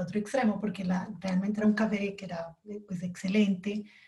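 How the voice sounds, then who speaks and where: A woman's medium-pitched, somewhat breathy voice, dark and mellow, monotone and flat, at a fairly quick pace. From Colombia. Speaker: coffee quality specialist. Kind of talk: interview. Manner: halting.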